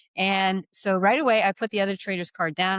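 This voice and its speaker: A plain, everyday voice, this woman speaks at a medium pitch and a fairly quick pace in a dry, close sound with no echo. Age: 60s. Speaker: learning expert and fitness business partner. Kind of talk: casual chat.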